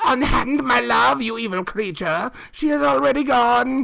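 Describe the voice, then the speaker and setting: The speaker uses a put-on character voice at a fairly high pitch. The pace is moderate. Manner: furious, snarling.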